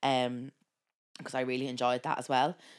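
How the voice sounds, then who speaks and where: The voice comes in an Irish accent at a very fast pace. The recording is very clean, with a silent background. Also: woman. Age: 20s. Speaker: podcast co-host and nurse. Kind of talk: casual chat. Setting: studio recorded on camera.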